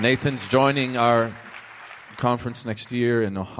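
With crowd noise in the background, a man speaks at a medium pitch. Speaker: minister and conference host. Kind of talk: sermon-style conference hosting. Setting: stage with audience. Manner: animated.

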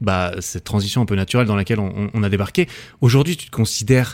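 The recording is very clean with a silent background, and the man's fairly low voice shows ordinary pitch variation. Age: 30s. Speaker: podcast host. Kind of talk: casual interview. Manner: animated.

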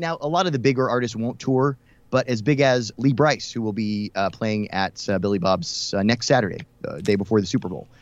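An ordinary speaking voice from a man with an American accent, medium pitch, lively intonation and a fairly quick pace, against a quiet background. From US South, Houston, Texas. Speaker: country radio host. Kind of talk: casual interview.

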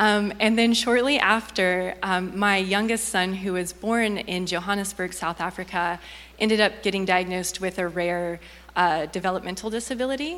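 With a plain, everyday voice, a woman of medium pitch talks at a moderate pace using fairly even intonation. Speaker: missionary. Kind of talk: testimony. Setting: church.

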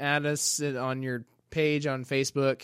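A man speaks very slowly at a fairly high pitch with a bright, sharp tone in a very clean recording with a silent background. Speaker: church intern and podcast co-host. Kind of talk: casual chat.

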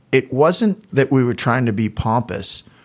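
An American accent from a man, very clean recording, silent background. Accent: Boston, slight when sober. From Boston, US. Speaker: flooring business owner. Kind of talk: interview.

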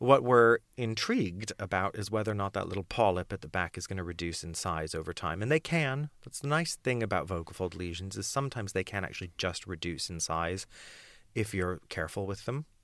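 Fairly low and lively in intonation, a man's normal speaking voice moves at a fairly quick pace in a very clean recording with a silent background. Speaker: voice coach and rehabilitation specialist. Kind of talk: casual interview chat about vocal injury. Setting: small podcast booth, in person.

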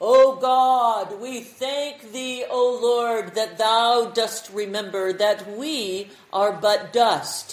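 A booming, solemn, put-on character voice at a fairly high pitch moves at a very slow pace with hardly any pauses. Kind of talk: formal King James Bible English. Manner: solemn, preacherly.

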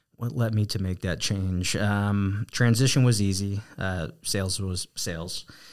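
A man with an American accent speaks in a plain, everyday voice, fairly low-pitched with fairly even intonation. His fairly slow pace has hardly any pauses, on a very clean recording with a silent background. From New Jersey. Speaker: real estate team leader. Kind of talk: casual interview.

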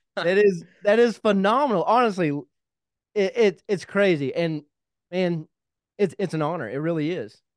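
In a Kentucky accent, a man speaks at a high pitch. The recording is very clean, with a silent background. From Kentucky (small town). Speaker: podcast host, military veteran. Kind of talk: casual interview. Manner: animated.

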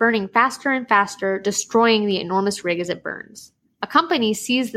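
Against a quiet background, someone reads aloud in a natural voice, the pitch varying in an ordinary way.

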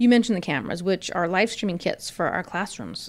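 The recording is very clean with a silent background. A woman uses an unremarkable speaking voice at medium pitch with fairly even intonation. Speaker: school district podcast host. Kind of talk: interview podcast.

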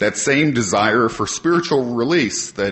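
A man with a normal speaking voice and an American accent talks at a moderate pace with lively intonation. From Ohio, Cleveland Heights. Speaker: AA convention speaker. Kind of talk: prepared talk to audience. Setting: stage with audience.

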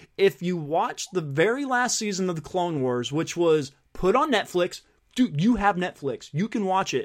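A man with a high pitch and lively intonation keeps to a moderate pace. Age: 40s. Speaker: podcast host. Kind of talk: casual chat.

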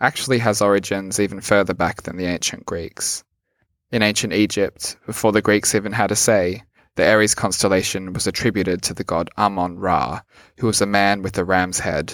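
With an Australian accent, a man talks at a fairly quick pace in a fairly low pitch with fairly even intonation on a very clean recording with a silent background. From rural Australia. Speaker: podcast host. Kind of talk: scripted narration; guided meditation.

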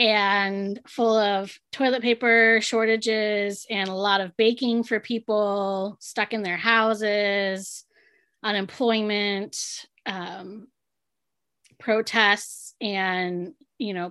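Over a silent background in a very clean recording, a woman speaks very slowly at a medium pitch, her tone bright and sharp and her intonation fairly even. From Southern California, San Diego. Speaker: podcast co-host, entrepreneur. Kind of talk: casual chat.

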